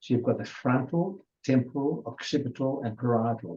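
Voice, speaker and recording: A man speaks at a moderate pace in a medium pitch with ordinary variation. His tone is dark, mellow and somewhat breathy. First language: Hungarian. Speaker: adult education presenter. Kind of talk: lecture. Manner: halting.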